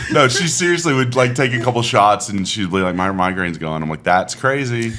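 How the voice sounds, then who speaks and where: A man talks at a fairly quick pace with very wide pitch swings over noticeable background noise. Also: medium pitch for a man. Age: 40s. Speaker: podcast host. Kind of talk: casual chat.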